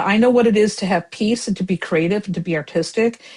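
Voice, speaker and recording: A woman at medium pitch talks very fast in a somewhat breathy voice. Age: 60s. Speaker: tarot reader and writer. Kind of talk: casual chat.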